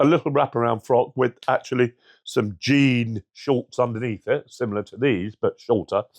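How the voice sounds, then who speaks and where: A man in a London accent, with dry, close sound without echo and a quiet background. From London (Brixton). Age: 60s. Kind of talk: documentary interview testimony. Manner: halting with many fillers.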